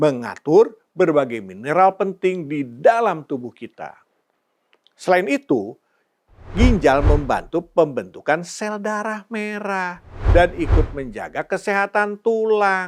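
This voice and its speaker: Speaking at a very slow pace, a man with a high pitch uses lively intonation and big swings in loudness. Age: 50s. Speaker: health educator, channel owner. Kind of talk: scripted educational talk. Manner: slow, clear.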